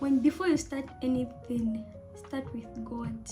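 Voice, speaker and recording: Music plays in the background. Over it, a woman talks at a fairly slow pace. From Zambia. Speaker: student studying abroad. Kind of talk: casual storytime talk to camera.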